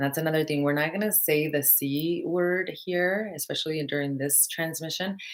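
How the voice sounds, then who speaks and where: In a Spanish accent, a woman speaks at a moderate pace with a very deep, low pitch and hardly any pauses. Her intonation is fairly even and her loudness very even. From Mexico. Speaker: spiritual teacher. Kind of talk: live stream talk. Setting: live video stream.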